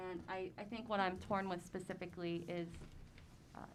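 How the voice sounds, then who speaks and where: Audible room echo carries a woman's fairly low voice as she talks at a moderate pace with monotone, flat intonation. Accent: American. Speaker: school board member. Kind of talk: public board meeting discussion. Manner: hesitant, filler-heavy.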